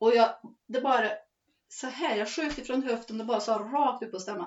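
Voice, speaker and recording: A woman talks with lively intonation at a moderate pace. It is an ordinary speaking voice. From Värmland, Sweden. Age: 50s. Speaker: forest owner and farmer. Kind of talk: interview.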